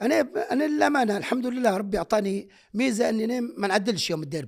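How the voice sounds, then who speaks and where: A man speaks in a high voice with lively intonation. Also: fairly quick pace. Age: 60s. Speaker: former football player. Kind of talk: interview.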